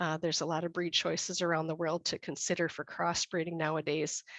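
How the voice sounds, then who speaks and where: In a dry, close recording with no echo and a quiet background, a woman with an American accent speaks fairly quickly at a fairly low pitch. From USA. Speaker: dairy breeding consultant. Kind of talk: webinar presentation. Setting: online webinar.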